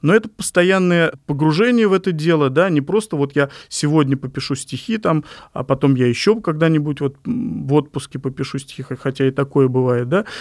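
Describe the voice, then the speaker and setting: A man's plain, everyday voice, fairly high-pitched, at a moderate pace with lively intonation, on a very clean recording with a silent background. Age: 40s. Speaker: poet and publishing editor. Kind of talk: interview monologue.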